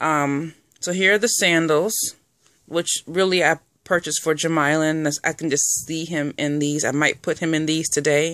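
Spoken at a moderate pace, the voice sounds dry with no echo over a quiet background. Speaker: reborn doll collector vlogger. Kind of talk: casual vlog show-and-tell. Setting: at home folding laundry. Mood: cheerful, pleased. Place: home room. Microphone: phone near.

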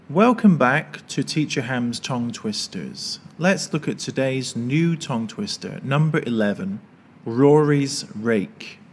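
A man with a plain, everyday voice, medium pitch, lively intonation, and a fairly slow pace. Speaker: English teacher. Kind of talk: educational pronunciation lesson for kids.

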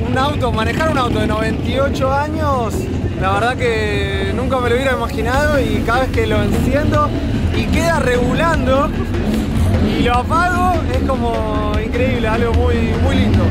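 With clear music in the background, a man talks at a fairly slow pace, leaving long, frequent pauses. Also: dry sound with no echo. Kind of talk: interview answer. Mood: happy, relieved after race. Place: open country. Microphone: phone near.

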